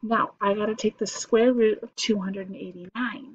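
A woman speaks at a moderate pace with an American accent, her medium-pitched voice somewhat breathy. The sound is dry with no echo, over light background noise. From US South. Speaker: math teacher. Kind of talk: tutorial. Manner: casual, chatty. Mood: relaxed, encouraging. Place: home room. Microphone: webcam.

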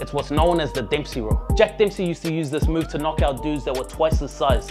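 A man speaks very fast while clear music plays in the background. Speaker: boxing coach. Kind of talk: tutorial. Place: garden. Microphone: lapel.

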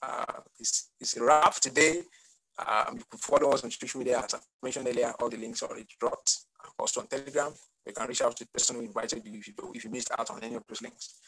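Over a quiet background, a man talks at a very fast pace with big swings in loudness. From Nigeria. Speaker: webinar host, consulting CEO; webinar host. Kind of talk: webinar hosting. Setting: video call. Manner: animated. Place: home room. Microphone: video call.

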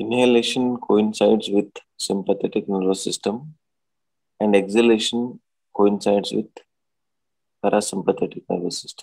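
A man with a fairly low pitch and a soothing tone speaks with fairly even intonation, long, frequent pauses and big swings in loudness. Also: moderate pace. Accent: Indian. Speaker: doctor and yoga teacher. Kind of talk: guided meditation. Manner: soothing, instructional.

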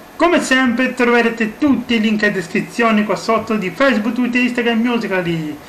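A man at a moderate pace, high in pitch with ordinary pitch variation, over light background noise. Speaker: YouTuber. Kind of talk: casual vlog chat, sarcastic commentary. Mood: sarcastic, mocking. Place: home room. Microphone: webcam.

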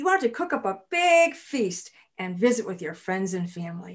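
A woman with an American accent, very wide pitch swings and a fairly slow pace against a quiet background. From US Midwest, Illinois. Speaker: storyteller. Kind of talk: children's folktale storytelling. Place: home room.

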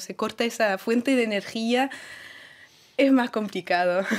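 A woman speaks at a fairly slow pace in a fairly high voice with fairly even intonation over a quiet background. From France, Paris. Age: 30s. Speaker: tango bandoneon player; guest. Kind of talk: interview. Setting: radio studio. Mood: engaged. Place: studio. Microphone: studio mic.

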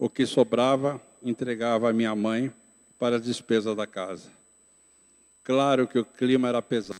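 A man at a medium pitch speaks at a moderate pace, leaving long, frequent pauses. His intonation is flat and monotone, and the background is quiet. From interior of São Paulo state, Brazil (Itapetininga), moved to São Paulo city at 12; São Paulo state, Brazil. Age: 60s. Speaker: pastor. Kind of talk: testimony. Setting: church. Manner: reading aloud. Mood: calm, reflective. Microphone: handheld.

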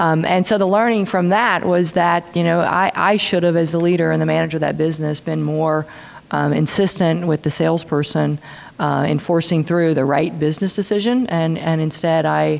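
A woman with a plain, everyday voice talks at a moderate pace with a fairly low pitch, fairly even intonation and very even loudness. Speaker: speaker. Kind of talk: panel answer. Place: hall. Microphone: podium.

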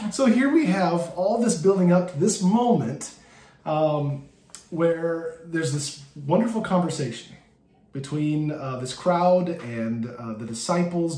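Audible room echo surrounds a man who talks at a fairly slow pace and a high pitch. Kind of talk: bible study teaching. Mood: warm, light humor. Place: home room. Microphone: phone near.

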